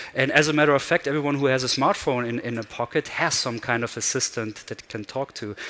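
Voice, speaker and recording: With a German accent, a man talks at a very fast pace with hardly any pauses, using a medium pitch and ordinary pitch variation. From Germany. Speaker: conference speaker. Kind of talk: keynote talk. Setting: stage with audience.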